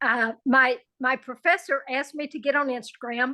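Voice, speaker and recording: A woman's raised, projected voice rings out with a bright, sharp tone at a high pitch. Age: 70s. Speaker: jiu jitsu practitioner. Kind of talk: interview.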